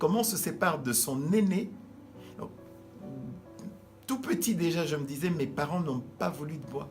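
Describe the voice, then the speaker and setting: A man speaks with a fairly high pitch and very wide swings in it. The room echoes audibly, and music plays in the background. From DR Congo, Kinshasa. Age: 60s. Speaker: pastor. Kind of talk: interview. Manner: halting.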